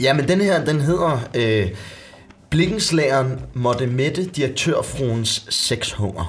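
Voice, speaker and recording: A man's fairly high-pitched voice with lively intonation, a very slow pace and very even loudness, over noticeable background noise. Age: 20s. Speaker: actor. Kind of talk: casual chat, reading aloud.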